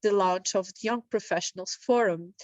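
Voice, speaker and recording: At a fairly quick pace, a woman talks with a fairly high pitch and ordinary pitch variation, recorded in a dry, close sound with no echo. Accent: Italian. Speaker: session moderator. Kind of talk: speaker introduction. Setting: online meeting.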